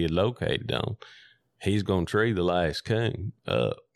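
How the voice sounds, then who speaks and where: A man is speaking. He has a West Tennessee accent. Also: quiet background. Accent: Southern US (West Tennessee). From US South, McNairy County, Tennessee. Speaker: coon hunter. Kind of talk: casual storytelling interview. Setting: in-person interview.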